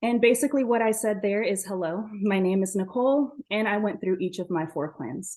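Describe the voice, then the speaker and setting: With a plain, everyday voice, an American-accented woman speaks at a fairly quick pace and medium pitch with ordinary pitch variation, against a quiet background. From US Southwest, Navajo Nation (Shiprock, New Mexico). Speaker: event moderator. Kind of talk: webinar presentation.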